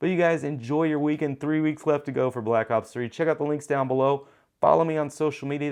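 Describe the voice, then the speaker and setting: Against a quiet background, a man talks at a very fast pace in a fairly high pitch with an animated tone. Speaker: tech YouTuber and show host. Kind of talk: casual show outro to camera.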